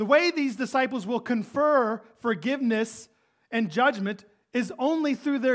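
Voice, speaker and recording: Loud and extremely high-pitched, a man speaks at a fairly slow pace with ordinary pitch variation. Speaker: pastor. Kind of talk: sermon. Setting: church.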